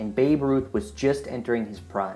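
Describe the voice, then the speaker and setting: The delivery is moderate in speed. Music can be heard behind the voice. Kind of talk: podcast interviewer.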